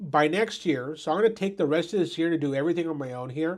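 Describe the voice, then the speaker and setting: A man talks with a high pitch. The recording is very clean, with a silent background. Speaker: roofing contractor. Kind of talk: casual chat. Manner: halting.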